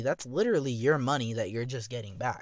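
Speaking at a fairly quick pace, a man has a medium pitch and an ordinary speaking voice. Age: 20s. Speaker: vlogger. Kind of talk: personal monologue. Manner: casual, rambling with fillers.

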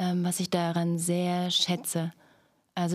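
Speaking fairly slowly, a woman uses a fairly low pitch. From Thuringia, Stadtroda. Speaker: actress and theatre educator. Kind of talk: casual chat.

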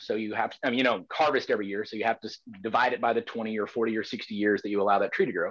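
Against a quiet background, a man talks with a Southern US accent. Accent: Southern American. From US South, Georgia. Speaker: defense attorney. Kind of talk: debate.

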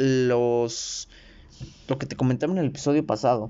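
A man's medium-pitched, animated voice at a fairly slow pace. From Mexico. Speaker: podcaster. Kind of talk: monologue.

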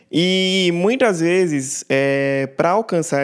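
A man speaks with ordinary pitch variation. There is noticeable background noise behind him. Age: 20s. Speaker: church musician, music producer. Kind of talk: casual panel discussion.

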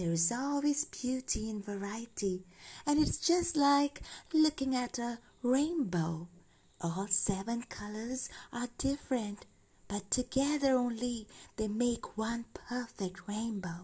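A put-on character voice in a calm, gentle tone at a fairly slow pace. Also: female-sounding voice, fairly high pitch for a woman. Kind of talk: bedtime story. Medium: read story. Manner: calm, gentle, patient.

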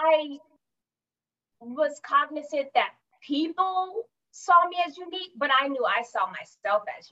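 An American woman raises and projects her high voice at a fairly slow pace, with lively intonation and big swings in loudness. She leaves long, frequent pauses. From California. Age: 40s. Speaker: executive assistant and entrepreneur. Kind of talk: casual interview.

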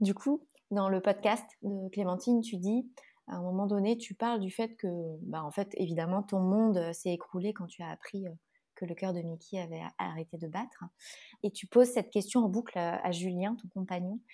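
A woman with a dark, mellow tone speaks at medium pitch with ordinary pitch variation and big swings in loudness. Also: moderate pace. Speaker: podcast host and doula. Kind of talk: interview. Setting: video call. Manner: laughs often.

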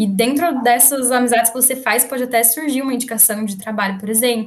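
Somewhat breathy, a woman's fairly high voice moves at a moderate pace with fairly even intonation. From Brazil, interior of São Paulo state (Valinhos). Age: 20s. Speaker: engineering student and digital marketer. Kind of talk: casual interview.

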